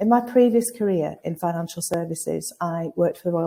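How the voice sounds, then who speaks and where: With a northern English accent, a woman talks at a fairly quick pace in a somewhat breathy, dark, mellow voice, fairly low in pitch, with fairly even intonation. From northern England, Lancashire. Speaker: recruitment consultancy founder, webinar host. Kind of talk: webinar hosting. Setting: live webinar from an agency office.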